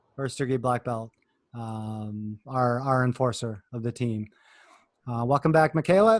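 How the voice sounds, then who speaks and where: In a dry, close sound with no echo, a man speaks with an American accent and an unremarkable speaking voice. His pitch is medium, with ordinary pitch variation and a fairly slow pace. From Minnesota, US. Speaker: youth soccer coach. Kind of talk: video call team meeting.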